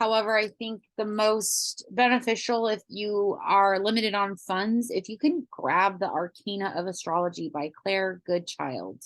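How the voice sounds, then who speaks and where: A woman speaks at a fairly slow pace with hardly any pauses, at a medium pitch with ordinary pitch variation. Hers is a plain, everyday voice. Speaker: astrology coach and teacher. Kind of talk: lecture.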